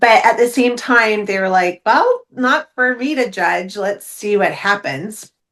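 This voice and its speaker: The speech is fairly slow with hardly any pauses, in an animated tone with ordinary pitch variation. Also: woman, fairly high pitch for a woman. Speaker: intuition coach and medium. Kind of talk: casual interview chat. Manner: loud.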